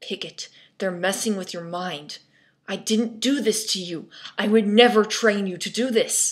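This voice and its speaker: A growling, put-on character voice delivered at a moderate pace. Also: female-sounding voice, medium pitch for a woman. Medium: read story.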